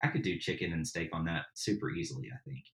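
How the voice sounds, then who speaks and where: A somewhat breathy man with an American accent. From Tennessee, US South. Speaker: backyard barbecuer and podcaster. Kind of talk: casual interview chat. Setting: remote podcast recording.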